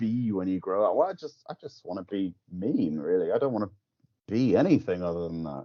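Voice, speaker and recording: Speaking fairly quickly, a man talks with an English accent. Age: 30s. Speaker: musician. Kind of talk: casual chat. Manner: halting.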